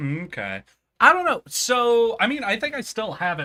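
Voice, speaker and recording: A man's raised, projected voice sounds bright, sharp and animated, with very wide pitch swings in a very clean recording with a silent background. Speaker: streamer. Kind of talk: casual chat.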